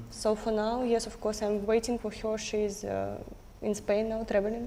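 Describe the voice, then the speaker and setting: Over noticeable background noise, a woman talks at a moderate pace. Her fairly high voice has flat, monotone intonation. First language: Russian. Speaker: trading student on a reality show. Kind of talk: casual chat. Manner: halting.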